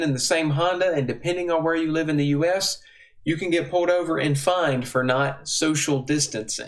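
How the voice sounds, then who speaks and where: This man has a Southern US accent. His voice is fairly high in pitch. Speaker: bible teacher. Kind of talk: teaching talk.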